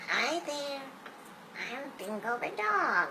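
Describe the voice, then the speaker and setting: The speaker uses a cartoonish character voice that sounds female. Background noise is clearly audible. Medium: puppet show.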